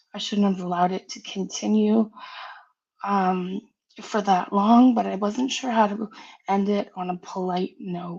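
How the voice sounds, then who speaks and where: Soft-spoken and somewhat breathy, a woman talks fairly slowly at a medium pitch with fairly even intonation. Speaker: live streamer. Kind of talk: personal apology statement. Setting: live stream.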